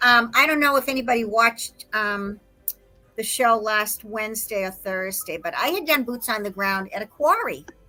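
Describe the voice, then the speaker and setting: Over music in the background, a woman with an American accent speaks at a moderate pace, her fairly high pitch showing ordinary variation. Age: 60s. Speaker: conspiracy researcher. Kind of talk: casual chat. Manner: animated storytelling.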